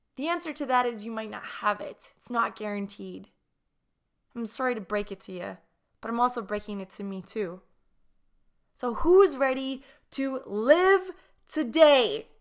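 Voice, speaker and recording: A high-pitched woman at a moderate pace, with long, frequent pauses and big swings in loudness, on a very clean recording with a silent background. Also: lively intonation. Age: 30s. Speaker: podcast host. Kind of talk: solo reflective monologue.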